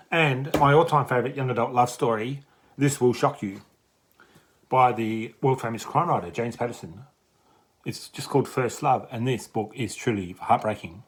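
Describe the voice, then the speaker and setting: At a moderate pace and medium pitch, this man talks with ordinary pitch variation in a plain, everyday voice. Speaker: book reviewer. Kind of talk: book review vlog.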